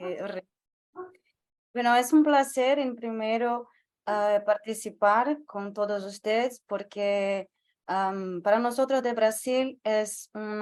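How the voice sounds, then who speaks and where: With a Portuguese accent, the speaker goes at a very slow pace with fairly even intonation against a quiet background. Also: woman. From northeast Brazil. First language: Portuguese (speaking Spanish). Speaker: panelist activist. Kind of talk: panel talk.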